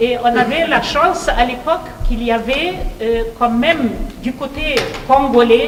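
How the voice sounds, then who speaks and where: Fairly slow delivery with ordinary pitch variation, audible room echo and noticeable background noise. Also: woman, high pitch for a woman. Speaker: professor. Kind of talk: speech. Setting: meeting hall with audience, microphone. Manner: hesitant, many fillers.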